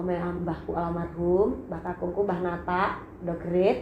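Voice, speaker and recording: Speaking at a fairly slow pace, a woman has an East Javanese accent. The room echo is audible and background noise is noticeable. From Blitar, East Java, Indonesia. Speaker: singer and YouTuber. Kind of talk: casual vlog storytelling. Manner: animated.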